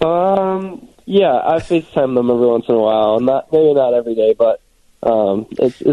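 Lively intonation marks this man's medium-pitched voice. He speaks at a moderate pace with an American accent. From Michigan, Farmington. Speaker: professional hockey player. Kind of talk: interview. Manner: soft-spoken.

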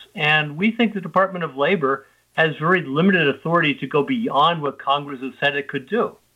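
Fairly quick and lively in intonation, a man talks in an unremarkable speaking voice at a fairly high pitch. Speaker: small business advocate. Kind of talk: radio interview.

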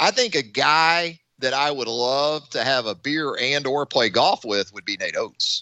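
A man speaks in an unremarkable speaking voice, fairly high in pitch with lively intonation. His pace is fairly slow, with hardly any pauses. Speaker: sports radio host. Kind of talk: sports talk radio. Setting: studio.

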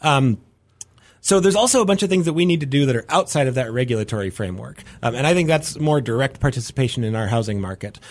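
Very fast and at medium pitch, a man speaks with very wide pitch swings. The recording is very clean, with a silent background. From North Dakota. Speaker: city mayor. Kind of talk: radio interview. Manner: halting, many fillers.

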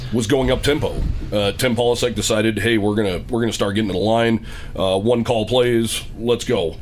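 A man at medium pitch with a fairly quick pace, fairly even intonation and very even loudness, over noticeable background noise. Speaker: radio host. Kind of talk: live radio sports show. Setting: live from a store, radio broadcast.

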